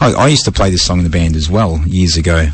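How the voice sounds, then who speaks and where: Someone talks at a very fast pace with an Australian accent. Noticeable background noise runs under the speech. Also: man. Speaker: radio host. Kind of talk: casual chat. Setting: radio studio.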